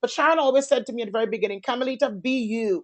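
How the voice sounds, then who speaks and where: Her voice sits at a high pitch, with lively intonation. This woman has an animated tone. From Caribbean. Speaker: entrepreneur and event host. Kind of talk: online master class panel. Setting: conference call. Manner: loud.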